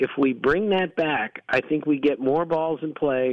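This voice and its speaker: A man with a fairly high-pitched, ordinary speaking voice at a fairly slow pace. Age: 60s. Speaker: baseball analyst. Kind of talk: radio interview.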